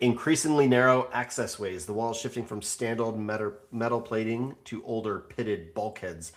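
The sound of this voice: Using an unforced reading voice, the speaker keeps a fairly even intonation.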